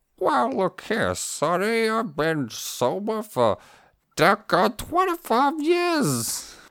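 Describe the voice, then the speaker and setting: Someone puts on a character voice, talking very slowly at a fairly high pitch. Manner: cantankerous, folksy.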